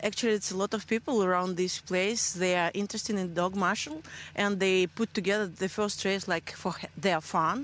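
A woman speaks with a Russian accent and fairly even intonation. The sound is dry, with no echo. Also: medium pitch for a woman, moderate pace. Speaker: race founder. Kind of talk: interview. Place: open country. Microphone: handheld.

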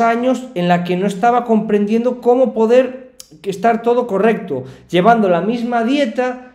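With ordinary pitch variation, a man speaks at a fairly slow pace in a quiet background where audible room echo can be heard. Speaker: streamer reacting to a video. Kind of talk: casual reaction commentary. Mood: personal, confiding story.

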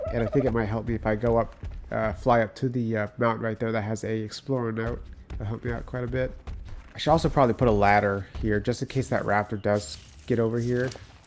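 Music plays in the background as a man talks at a very fast pace. His pitch is medium. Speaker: gamer. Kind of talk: gameplay commentary. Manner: casual.

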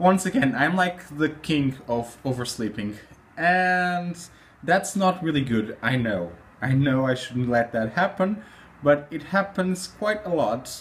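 A man's fairly high voice with very wide pitch swings, somewhat breathy, at a fairly slow pace. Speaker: vlogger. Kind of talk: casual talk to camera. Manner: upbeat, chatty. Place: home room. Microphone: phone near.

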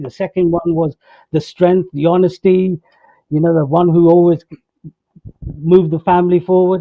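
At a moderate pace, a man speaks in a high pitch, the sound dry with no echo and the background quiet. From northern England. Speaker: comedy actor. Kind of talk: reflective interview. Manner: halting. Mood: warm, reflective, smiling. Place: home room. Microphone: video call.

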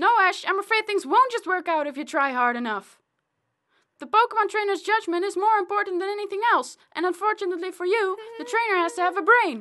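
Extremely high in pitch, this cartoonish character voice rattles along at a very fast pace. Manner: condescending, lecturing.

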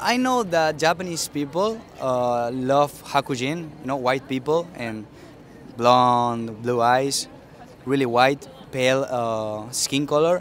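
Under light background noise, a man talks very slowly in a dry sound with no echo. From Spain. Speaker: street interviewee. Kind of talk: interview. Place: street. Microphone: handheld.

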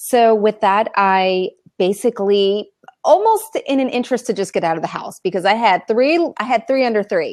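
Lively intonation carries a fairly quick pace in a dry sound with no echo and a quiet background. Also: woman. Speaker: remote interview guest. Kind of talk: interview answer. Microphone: video call.

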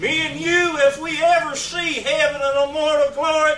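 Pitched extremely high for a man, his fairly bright voice moves at a moderate pace with little pitch movement, and the room echo is audible.

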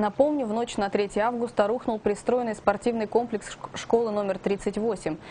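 Over noticeable background noise, a woman with a fairly high pitch speaks at a moderate pace with fairly even intonation. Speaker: news presenter. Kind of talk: news reading.

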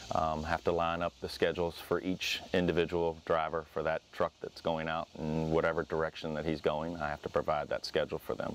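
A man's very deep, low voice in a monotone, flat delivery with hardly any pauses, dry with no echo over light background noise. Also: fairly quick pace. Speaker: pest control business owner. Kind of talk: interview. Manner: halting. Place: garden. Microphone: lapel.

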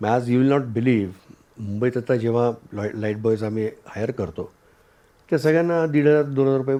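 A dark, mellow tone with ordinary pitch variation. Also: man. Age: 60s. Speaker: writer, director and producer. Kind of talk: interview.

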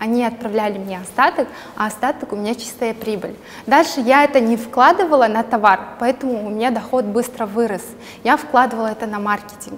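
With light background noise, a woman talks at a fairly quick pace with ordinary pitch variation. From Kazakhstan. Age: 20s. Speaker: entrepreneur and blogger. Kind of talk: casual interview chat. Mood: friendly, smiling. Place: studio. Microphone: lapel.

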